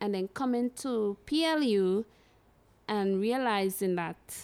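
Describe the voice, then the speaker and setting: A woman speaks at a medium pitch and a very slow pace, with ordinary pitch variation. The recording is very clean, with a silent background. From Trinidad and Tobago. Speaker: university alumna. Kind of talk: casual interview. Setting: recording on location abroad.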